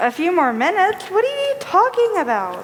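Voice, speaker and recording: Putting on a squeaky, female-sounding character voice at an extremely high pitch, the speaker makes very wide pitch swings at a moderate pace over clear background noise. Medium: stage play.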